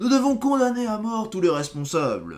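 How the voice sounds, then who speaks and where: Here a man puts on a character voice. His pitch is high. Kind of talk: haughty. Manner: haughty.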